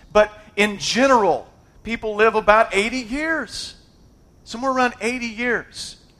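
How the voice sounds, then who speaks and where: The voice is raised and projected, with a bright, sharp tone and a fairly slow pace. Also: man, extremely high pitch for a man. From United States. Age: 40s. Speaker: pastor. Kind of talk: sermon. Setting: church. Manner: animated.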